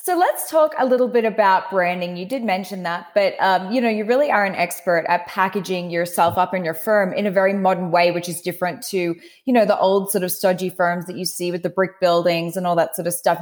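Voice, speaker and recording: Speaking at a fairly quick pace, a woman with an Australian accent uses a medium pitch and ordinary pitch variation. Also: hardly any pauses. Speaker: podcast host. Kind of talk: interview chat.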